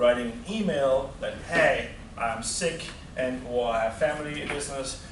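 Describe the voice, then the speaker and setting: With a German accent and lively intonation, a man speaks at a moderate pace amid noticeable background noise and audible room echo. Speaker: university lecturer. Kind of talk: lecture. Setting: classroom.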